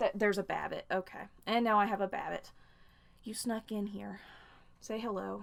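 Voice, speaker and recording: A woman talks at a moderate pace. Her speech is broken by long, frequent pauses. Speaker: fan fiction reviewer, YouTuber. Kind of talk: casual video review.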